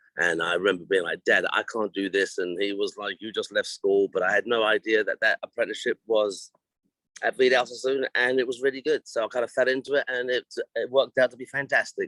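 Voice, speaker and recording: Recorded with a dry, close sound and no echo, a man with an English accent speaks at a fairly quick pace. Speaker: hairdressing educator and former salon owner. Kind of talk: interview. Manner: halting.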